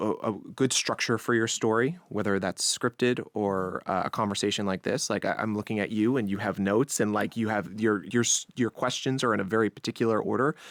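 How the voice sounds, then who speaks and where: Speaking at a fairly quick pace with hardly any pauses, a man with an American accent keeps a fairly low pitch and fairly even intonation in a very clean, silent-background recording that sounds dry and close with no echo. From New York, Long Island. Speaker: podcast host, audio journalist. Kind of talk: interview, conversational. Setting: studio. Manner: conversational.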